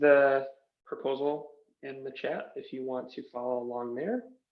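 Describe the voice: A man's slow delivery at a medium pitch, with audible room echo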